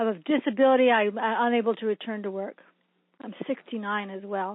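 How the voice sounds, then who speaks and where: With an ordinary speaking voice, a woman talks at a fairly quick pace and fairly high pitch, her intonation fairly even while her loudness swings widely. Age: 60s. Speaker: caller. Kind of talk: question from caller. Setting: phone call.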